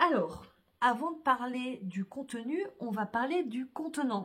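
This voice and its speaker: A somewhat breathy woman's voice with lively intonation at a very slow pace. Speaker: vlogger. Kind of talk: casual vlog talk to camera. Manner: hesitant, many fillers.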